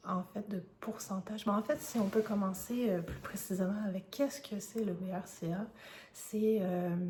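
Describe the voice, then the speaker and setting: A woman with a Quebec accent speaks at a medium pitch with fairly even intonation. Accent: Québécois French. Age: 30s. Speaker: vlogger sharing health experience. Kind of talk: personal testimony. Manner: hesitant, many filler sounds.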